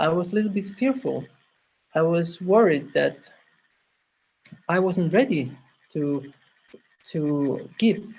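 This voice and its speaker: Speaking at a very slow pace, a woman has a fairly low pitch, a somewhat breathy sound, and lively intonation. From Italy. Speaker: clown and humanitarian volunteer. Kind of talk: personal story in an online workshop. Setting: video call. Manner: halting.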